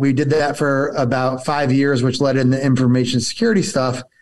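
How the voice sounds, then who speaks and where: A man with a New Jersey accent, fairly high in pitch, at a fairly quick pace against a quiet background. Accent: New Jersey American. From northern New Jersey. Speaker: entrepreneur. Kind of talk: casual interview.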